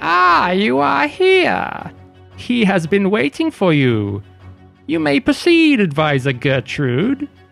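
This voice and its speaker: This man uses a put-on character voice pitched high for a man, speaking at a fairly slow pace. Faint music plays in the background. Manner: frantic, eerie.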